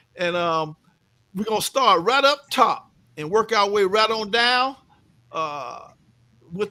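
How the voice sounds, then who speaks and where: On a very clean recording with a silent background, a man uses a raised, projected voice at a high pitch and a fairly slow pace, his tone bright, sharp and animated and his intonation lively. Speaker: live show host. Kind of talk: casual chat.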